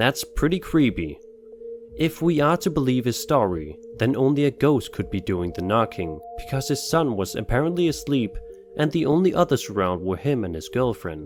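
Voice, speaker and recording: Music sits in the background as a man with a Danish accent talks at a moderate pace. His fairly high voice swings very widely in pitch. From Denmark. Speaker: YouTube narrator of scary videos. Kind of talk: scripted narration.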